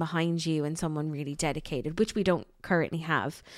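In a very clean recording with a silent background and a dry, close sound with no echo, a woman speaks with an Irish accent at a fairly low pitch. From Ireland. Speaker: podcast co-host, marketing agency. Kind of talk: casual chat. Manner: animated.

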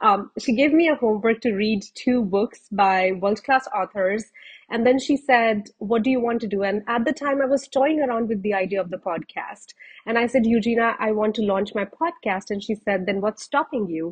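A woman speaks in a plain, everyday voice at a moderate pace. Her pitch is fairly high, with ordinary pitch variation. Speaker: podcast host. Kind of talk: interview.

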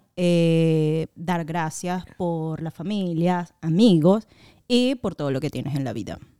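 The recording is very clean, with a silent background and a dry, close sound with no echo. A woman with a fairly low pitch and a dark, mellow tone speaks at a very slow pace. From Venezuela. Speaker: podcast co-host. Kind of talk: casual chat.

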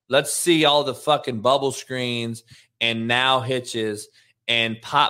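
A medium-pitched man with a bright, sharp tone and an animated manner speaks at a fairly slow pace in a very clean recording with a silent background. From Compton, Los Angeles. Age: 40s. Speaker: football coach and show host. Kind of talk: casual sports talk show. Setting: live show.

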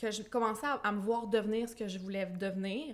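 The woman's pitch is fairly high. She speaks at a fairly slow pace with fairly even intonation. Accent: Quebec. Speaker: blogger and entrepreneur. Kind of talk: podcast interview testimony.

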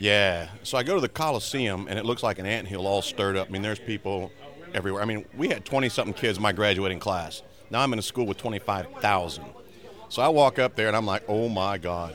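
Against noticeable background noise, a man with an American accent speaks at a fairly quick pace, his fairly low voice showing ordinary pitch variation. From Maryland. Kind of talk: anecdote.

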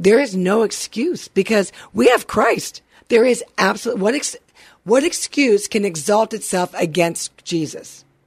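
Lively intonation carries a woman's fairly high pitch as she speaks at a moderate pace in a plain, everyday voice. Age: 50s. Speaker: radio co-host and producer. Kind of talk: casual faith-based motivational chat.

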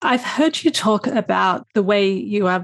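A woman speaks with an Australian accent at a medium pitch. The sound is dry and close with no echo, against a quiet background. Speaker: podcast host. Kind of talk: interview.

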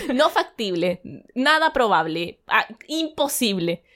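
Over a silent background in a very clean recording, a woman with a Chilean accent speaks very slowly in a high pitch, with very wide pitch swings and a bright, sharp tone. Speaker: podcast co-host. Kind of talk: casual chat.

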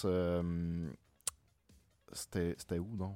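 A man with music in the background. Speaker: podcast co-host. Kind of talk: casual chat.

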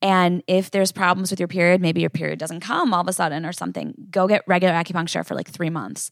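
Speaking at a fairly quick pace, a woman uses a fairly low pitch with vocal fry and ordinary pitch variation, in a dry, close sound with no echo. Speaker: acupuncturist and herbalist. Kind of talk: casual interview chat.

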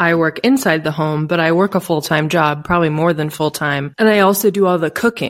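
Delivered in an unremarkable speaking voice at a fairly quick pace with hardly any pauses and ordinary pitch variation, the clip is a very clean recording with a silent background. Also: woman, fairly low pitch for a woman. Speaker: podcast co-host. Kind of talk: casual discussion. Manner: casual.

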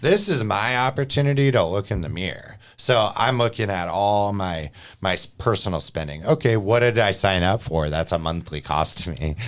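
A man with a normal speaking voice talks at a moderate pace in a fairly low pitch, with lively intonation and hardly any pauses, on a very clean recording with a silent background. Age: 30s. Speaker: podcast host and real estate mortgage professional. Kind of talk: casual chat. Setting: studio.

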